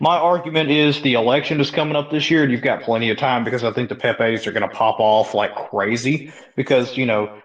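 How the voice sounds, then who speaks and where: Ordinary pitch variation marks a man speaking at a fairly quick pace. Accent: Southern US. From US South (Mississippi). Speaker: salesman, crypto community member. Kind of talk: casual chat. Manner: halting.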